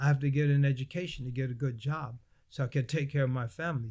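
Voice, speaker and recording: A somewhat breathy male voice with an American accent. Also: very clean recording, silent background. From United States. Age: 60s. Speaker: Islamic scholar and imam. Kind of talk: interview discussion on religion. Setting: mosque room, filmed shoot.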